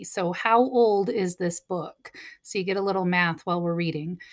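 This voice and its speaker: Woman speaking, ordinary pitch variation. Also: quiet background. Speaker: teacher. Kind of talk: talk to pupils before reading a book aloud. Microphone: webcam.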